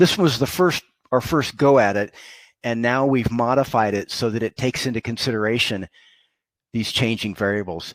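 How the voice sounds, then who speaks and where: Against a quiet background, a man speaks at a moderate pace with ordinary pitch variation in a dry sound with no echo. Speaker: telecom consultant hosting live tutorial. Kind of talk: live tutorial. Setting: live broadcast. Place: home room. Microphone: headset.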